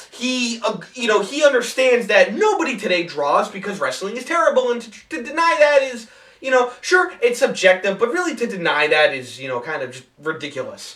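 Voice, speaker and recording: At a fairly quick pace with hardly any pauses, the voice makes very wide pitch swings and big swings in loudness over noticeable background noise. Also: man, extremely high pitch for a man. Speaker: wrestling commentary youtuber. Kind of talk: casual rant. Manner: fast; frantic.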